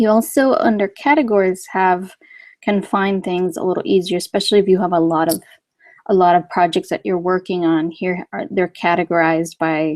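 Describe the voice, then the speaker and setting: This woman has an unremarkable speaking voice at medium pitch, with ordinary pitch variation and a moderate pace. Her sound is dry and close with no echo against a quiet background. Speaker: software trainer. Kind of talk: tutorial. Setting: webinar.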